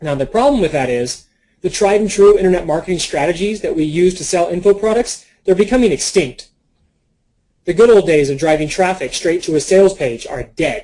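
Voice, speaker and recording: At a fairly quick pace, a man with a high pitch and a dark, mellow tone speaks with lively intonation. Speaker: internet marketer. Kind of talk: webinar sales presentation. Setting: online webinar. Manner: fast.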